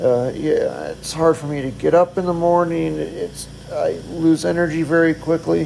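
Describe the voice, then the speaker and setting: Moderate pace against noticeable background noise. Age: 40s. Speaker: podcaster in hospice care. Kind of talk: personal monologue. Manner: halting.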